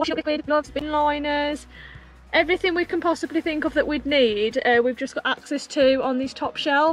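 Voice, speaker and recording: Over faint background music, a woman with a high pitch speaks with ordinary pitch variation in a dry sound with no echo. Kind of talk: casual vlog chat. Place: car. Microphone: phone near.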